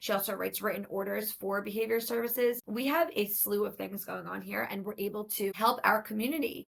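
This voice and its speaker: Speaking fairly quickly with hardly any pauses, a woman at medium pitch shows vocal fry. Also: ordinary pitch variation. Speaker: podcast host and speech-language pathologist. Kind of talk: solo podcast monologue.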